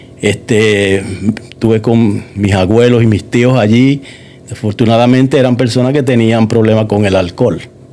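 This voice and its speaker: Moderate pace, fairly even intonation and very even loudness, with audible room echo and noticeable background noise. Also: man, medium pitch for a man. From Puerto Rico, moved to Massachusetts at about 9. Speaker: church member giving testimony. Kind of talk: testimony interview. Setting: church studio.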